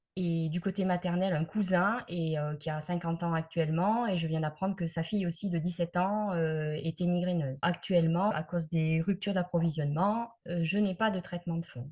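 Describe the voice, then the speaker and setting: A woman speaks with a fairly low pitch, a somewhat breathy quality, fairly even intonation and hardly any pauses. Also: moderate pace. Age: 60s. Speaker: migraine patient giving testimony. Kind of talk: testimony. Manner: hesitant, many filler sounds.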